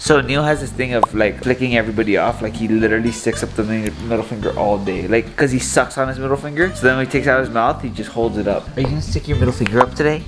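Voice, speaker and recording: A man at a very fast pace with ordinary pitch variation, clear music in the background. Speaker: family vlogger. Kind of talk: casual vlog chat. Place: home room. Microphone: phone near.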